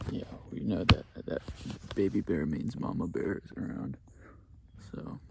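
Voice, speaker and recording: Whispering with vocal fry, a man speaks at a fairly slow pace with long, frequent pauses and big swings in loudness. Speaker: motorcycle camping vlogger. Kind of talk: casual vlog chat. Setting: outdoors in the woods.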